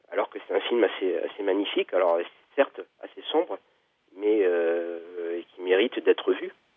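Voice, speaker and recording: The man talks at a fairly slow pace, his loudness swinging widely. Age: 40s. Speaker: author. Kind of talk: interview. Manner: halting.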